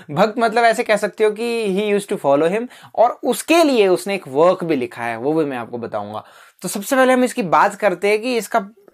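Against a quiet background, a man speaks at a high pitch. His pitch swings very widely. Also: moderate pace. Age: 20s. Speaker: literature tutor; teacher. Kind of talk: lecture. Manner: casual, repetitive. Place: classroom. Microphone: lapel.

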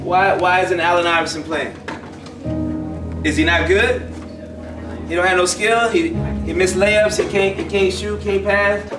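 Clear music plays in the background as a man speaks at a moderate pace. He leaves long, frequent pauses. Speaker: camp coach giving talk. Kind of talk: inspirational talk to youth. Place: hall.

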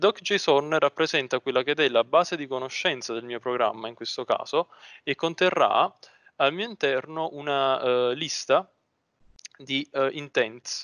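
A man's fairly high voice over a quiet background, fairly slow, with ordinary pitch variation and big swings in loudness. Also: dry sound with no echo. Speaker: student; presenter. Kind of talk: tutorial. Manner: halting. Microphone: video call.

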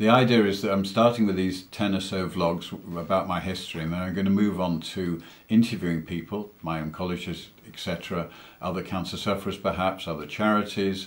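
This man has a very deep, low pitch and fairly even intonation. His pace is fairly quick. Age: 60s. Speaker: entrepreneur, angel investor, cancer patient. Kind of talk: interview answer. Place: home room. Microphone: webcam.

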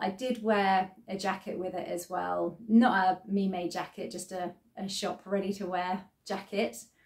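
Over a quiet background, a woman speaks at a moderate pace with ordinary pitch variation. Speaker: sewing vlogger. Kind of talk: casual vlog chat. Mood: cheerful, relaxed. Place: home room. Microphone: phone near.

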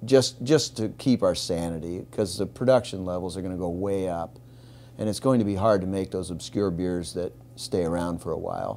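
A man with a very deep, low pitch and a dark, mellow tone talks at a moderate pace. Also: ordinary pitch variation. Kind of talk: interview answer. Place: bar.

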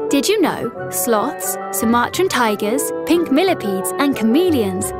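A woman's voice over clear background music, dry with no echo. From United Kingdom. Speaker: voice actor. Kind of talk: children's e-learning narration. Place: studio.

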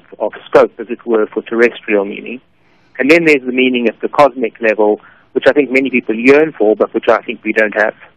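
Fairly quick and fairly even in intonation, a man talks at a medium pitch in a normal speaking voice. The sound is dry and close, with no echo. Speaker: philosophy professor. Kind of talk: radio interview. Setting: phone call.

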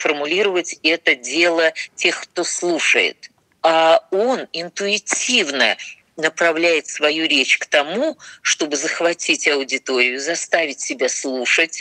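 This woman talks very slowly, her voice pitched fairly low. The sound is dry and close, with no echo. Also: ordinary pitch variation. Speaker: speech teacher. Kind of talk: interview answer.

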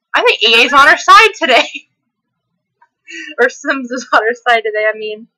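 A woman's high, raised, projected voice, energetic and bright with a sharp tone, at a moderate pace with very wide pitch swings and long, frequent pauses. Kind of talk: casual gameplay commentary. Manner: hyper, energetic.

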